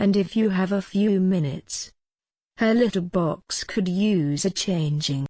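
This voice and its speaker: Over a quiet background, a woman at medium pitch uses a put-on character voice at a fairly slow pace. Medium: comedy sketch. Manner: slow, suggestive.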